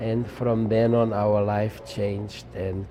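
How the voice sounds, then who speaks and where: A man's fairly low voice with fairly even intonation, audible room echo and noticeable background noise. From Czechoslovakia. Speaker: Holocaust survivor. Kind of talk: interview testimony. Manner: halting with fillers.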